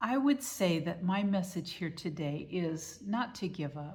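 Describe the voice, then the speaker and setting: This woman has a somewhat breathy voice at a medium pitch, with lively intonation. The recording is very clean, with a silent background. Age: 70s. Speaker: author and vlogger. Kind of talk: casual vlog monologue. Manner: conversational.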